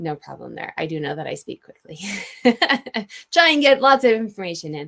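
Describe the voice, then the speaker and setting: Her loudness swinging widely, a woman talks at a fairly quick pace. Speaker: online seller and presenter. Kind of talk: webinar presentation. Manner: fast.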